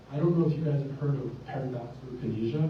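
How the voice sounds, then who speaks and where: Noticeable background noise runs under a man's medium-pitched voice. He talks at a very fast pace with fairly even intonation. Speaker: neurologist. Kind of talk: lecture. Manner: loud. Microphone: cutting out.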